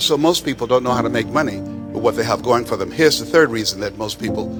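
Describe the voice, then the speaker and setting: A man's pitch swings very widely as he talks. Music can be heard behind him. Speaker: motivational speaker. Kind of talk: motivational speech to a live audience.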